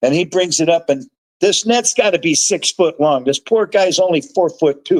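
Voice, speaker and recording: A man's high-pitched voice at a moderate pace, with ordinary pitch variation and a dry, close sound free of echo. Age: 60s. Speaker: fishmonger and angler. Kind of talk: casual chat. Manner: animated.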